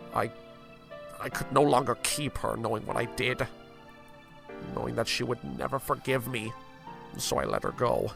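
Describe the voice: A man talks in a put-on character voice at a medium pitch with a fairly bright tone, vocal fry and big pitch swings, leaving long, frequent pauses as faint music plays in the background. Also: moderate pace.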